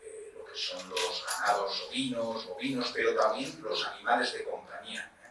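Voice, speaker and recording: A man with a Spanish accent talks at a fairly slow pace with hardly any pauses and big swings in loudness. Noticeable background noise runs underneath. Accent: Spain Spanish. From Spain, Basque Country (Vitoria-Gasteiz). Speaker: pharmacist and researcher, lecturer. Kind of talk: lecture. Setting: lecture hall with audience. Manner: conversational, addresses audience directly.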